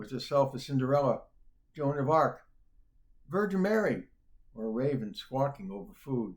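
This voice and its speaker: A somewhat breathy voice with an American accent moves at a moderate pace. Its pitch swings very widely. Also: man. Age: 70s. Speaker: poet. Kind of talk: poetry reading; casual introduction. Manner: halting, many fillers.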